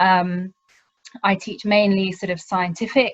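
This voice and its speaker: Somewhat breathy, a woman speaks with a British accent at a medium pitch, her intonation fairly even. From UK. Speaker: university lecturer. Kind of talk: webinar presentation. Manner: hesitant, many ums.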